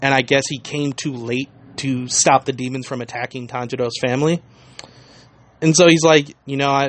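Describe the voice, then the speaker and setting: This man has an ordinary speaking voice, fairly high in pitch, with fairly even intonation, a moderate pace, and an American accent. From United States. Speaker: anime podcaster. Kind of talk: casual recap of anime episode.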